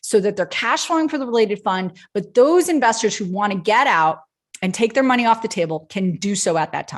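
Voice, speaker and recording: Her pitch swinging very widely, a woman with a fairly high voice talks at a fairly quick pace. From Nebraska. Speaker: attorney and investment presenter. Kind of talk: presentation. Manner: fast.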